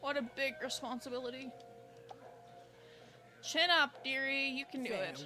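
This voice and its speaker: Putting on a high-pitched character voice, a woman speaks at a moderate pace with long, frequent pauses over clear music in the background. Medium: game stream. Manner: sly, theatrical.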